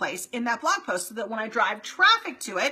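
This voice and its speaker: A woman speaks in an animated tone at a fairly high pitch. Noticeable background noise is present. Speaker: marketing coach for real estate agents. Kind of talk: live stream Q&A. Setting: Facebook live stream. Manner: fast.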